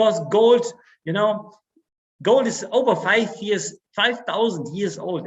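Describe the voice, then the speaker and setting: A man with a German accent speaks at a fairly slow pace. His pitch variation is ordinary. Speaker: network marketing sales director. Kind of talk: stage speech. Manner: halting.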